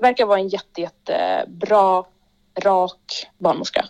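A woman with an unremarkable speaking voice at medium pitch, moderate pace and fairly even intonation. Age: 20s. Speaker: rapper and actor. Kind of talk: casual chat.

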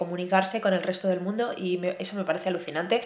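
Her monotone, flat intonation stays at a medium pitch as she talks at a fairly quick pace. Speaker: podcast host and writer. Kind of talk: casual solo podcast monologue. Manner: hesitant, many filler sounds and pauses.

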